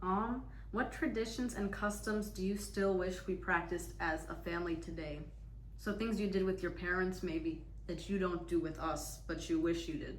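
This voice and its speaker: Noticeable background noise and audible room echo surround the recording. A woman with an American accent talks at a moderate pace. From United States. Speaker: interviewer, daughter. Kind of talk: casual interview.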